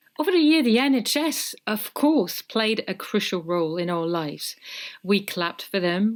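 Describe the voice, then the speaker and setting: This woman's medium-pitched voice swings very widely up and down as she talks at a moderate speed. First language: French. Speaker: podcast host. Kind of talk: scripted narration; casual chat.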